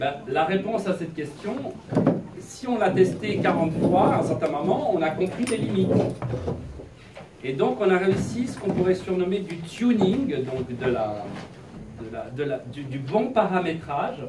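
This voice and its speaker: Against loud background noise, a man talks at a fairly slow pace with long, frequent pauses. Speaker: presenter. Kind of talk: lecture. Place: classroom. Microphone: camera far.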